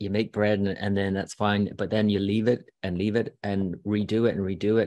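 Here a man talks with an Irish accent and fairly low pitch. His pace is moderate, over a quiet background. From Ireland. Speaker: astrologer and author. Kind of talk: casual interview chat. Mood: warm, reflective. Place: home room. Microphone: video call.

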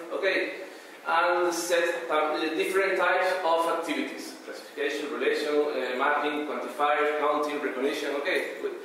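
A man with a Spanish accent at a moderate pace, strong room echo and light background noise behind him. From Canary Islands, Spain. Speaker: conference presenter, researcher. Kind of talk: conference talk. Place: hall.

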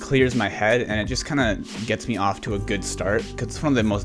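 With clear music in the background, a man talks at a very fast pace. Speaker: lifestyle youtuber. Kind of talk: casual vlog chat. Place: home room. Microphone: studio mic.

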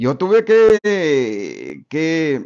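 A man's fairly high voice with very wide pitch swings, against a quiet background. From Sonora, Mexico. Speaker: retired schoolteacher. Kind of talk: interview. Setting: interviewer's home. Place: home room. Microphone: studio mic.

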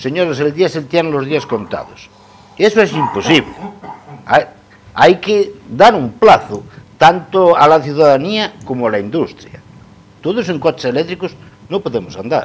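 A man's fairly high voice with vocal fry and very wide pitch swings, fairly slow with long, frequent pauses, over light background noise. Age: 60s. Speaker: coal truck driver; guest. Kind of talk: TV panel discussion. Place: studio. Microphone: lapel.

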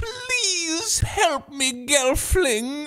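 This is a put-on character voice with a high pitch. The pitch swings very widely. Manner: pleading, menacing.

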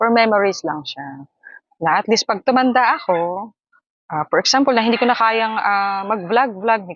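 A woman speaks with lively intonation. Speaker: vlogger and live streamer. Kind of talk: casual vlog talk to camera. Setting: outdoors in a hammock. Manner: animated, frequent laughter.

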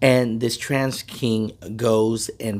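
A man talks with fairly even intonation. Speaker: trucking channel host. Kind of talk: casual vlog commentary. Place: car. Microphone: phone near.

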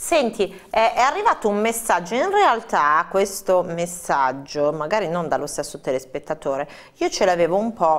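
Speaking at a fairly slow pace, a woman has a fairly low pitch. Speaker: TV presenter. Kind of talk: live TV interview. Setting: studio. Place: studio.

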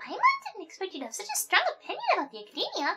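A woman uses a put-on character voice at an extremely high pitch. She talks at a very fast pace with very wide pitch swings. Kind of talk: video game voice-over, playful. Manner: excitable, chatty, indignant.

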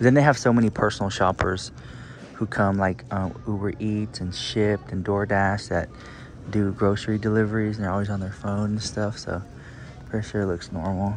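Light background noise sits under a man's fairly low voice as he talks at a moderate pace with fairly even intonation, the sound dry with no echo. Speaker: vlogger. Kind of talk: casual vlog chat. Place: shop. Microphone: phone near.

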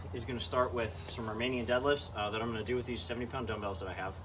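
Amid noticeable background noise, a man talks at a very fast pace. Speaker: fitness vlogger. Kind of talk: casual vlog chat explaining a workout. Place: garage. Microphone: camera far.

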